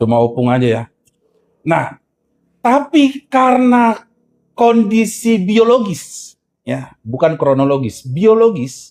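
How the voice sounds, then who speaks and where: A man speaks at a very slow pace with a high pitch and very wide pitch swings. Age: 40s. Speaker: pastor. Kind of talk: sermon.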